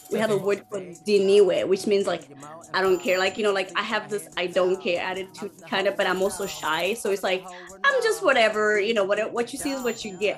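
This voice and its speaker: Over music in the background, a woman speaks at a fairly quick pace with fairly even intonation. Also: medium pitch for a woman. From Zimbabwe. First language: Shona. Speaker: singer and percussionist. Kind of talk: interview.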